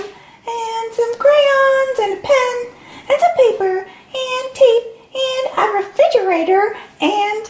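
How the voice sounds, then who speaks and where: A put-on character voice comes from a woman, squeaky and pitched extremely high. Her delivery is very slow. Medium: read story. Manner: eager.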